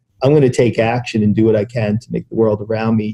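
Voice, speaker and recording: A man's fairly low voice comes through with music playing behind it. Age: 60s. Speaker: civil rights attorney. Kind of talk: casual chat. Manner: halting.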